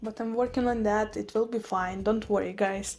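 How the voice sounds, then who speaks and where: This woman has a Russian accent. Her pitch is fairly high. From Russian-speaking, Eastern Europe. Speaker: houseplant vlogger. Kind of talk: casual vlog talk to camera.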